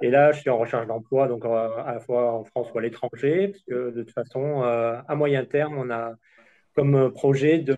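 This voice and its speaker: Intonation stays fairly even as the man speaks in a dark, mellow tone. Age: 40s. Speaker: apprentice sommelier, contest finalist. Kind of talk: self-introduction. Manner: hesitant, many fillers.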